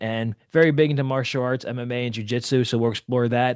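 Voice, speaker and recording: A man speaks at a fairly quick pace in an ordinary speaking voice, medium in pitch with fairly even intonation, against a quiet background. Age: 30s. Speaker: podcast host and jiu-jitsu instructor. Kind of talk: casual interview chat.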